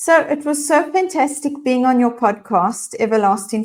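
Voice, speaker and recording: Talking at a fairly slow pace, a woman with a South African accent has a high pitch. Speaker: leadership and mindfulness coach. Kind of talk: casual interview chat. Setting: LinkedIn live video broadcast.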